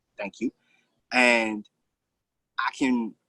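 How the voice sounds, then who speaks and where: A man's bright, sharp tone at a medium pitch, dry and close with no echo. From south suburbs of Chicago, US. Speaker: comedian. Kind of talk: stand-up. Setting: outdoors on a balcony.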